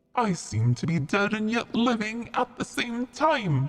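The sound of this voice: The put-on character voice moves at a fairly slow pace with a fairly high pitch.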